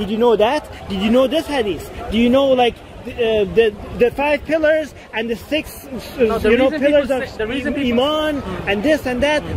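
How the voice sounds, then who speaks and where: Over light background noise and with a dry sound with no echo, a man with a Persian accent speaks fairly slowly at an extremely high pitch. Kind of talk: casual vlog chat. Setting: outdoors in cold weather, London. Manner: argumentative, explanatory. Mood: argumentative, pointing out hypocrisy. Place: open country. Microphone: phone near.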